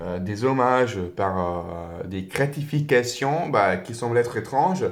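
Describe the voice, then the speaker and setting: Speaking very slowly in a non-native accent, a man uses lively intonation at a medium pitch. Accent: foreign accent in French. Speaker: tarot reader. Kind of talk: tarot reading to camera. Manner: hesitant, many fillers.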